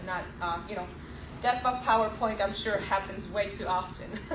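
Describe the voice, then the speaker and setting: Noticeable background noise and audible room echo surround a woman whose fairly high voice keeps a fairly even intonation. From Poland. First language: Polish. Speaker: software engineer presenting at a user group. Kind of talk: technical presentation. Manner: fast.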